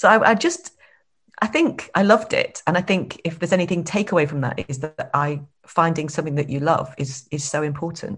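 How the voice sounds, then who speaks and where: A woman's somewhat breathy, very deep, low voice at a fairly quick pace, with ordinary pitch variation, over a quiet background. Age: 50s. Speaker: entrepreneur. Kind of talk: interview. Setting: video call.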